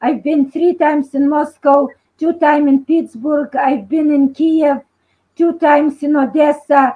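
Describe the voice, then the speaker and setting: A woman with a Lithuanian accent speaks at a high pitch with a dark, mellow tone. Her delivery is fairly slow and monotone, with flat intonation and very even loudness. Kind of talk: video call discussion. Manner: halting.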